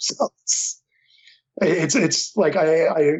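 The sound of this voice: With a Philadelphia accent, a man talks at a slow pace and a fairly high pitch. His voice has a slightly husky edge and ordinary pitch variation. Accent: mild Philadelphia.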